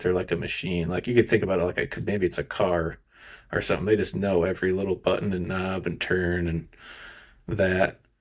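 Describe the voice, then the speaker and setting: Very deep and low, a man's voice carries an American accent. He talks at a fairly quick pace. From rural Iowa, US Midwest. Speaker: podcast host, data engineer. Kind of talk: podcast interview. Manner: casual, filler-heavy.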